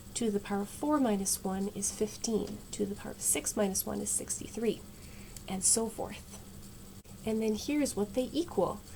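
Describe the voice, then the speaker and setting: A soft-spoken woman talks with ordinary pitch variation. Noticeable background noise sits behind her. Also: medium pitch for a woman, moderate pace. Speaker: math video creator. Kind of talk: casual math tutorial. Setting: home at night. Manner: quiet, soft-spoken; relaxed.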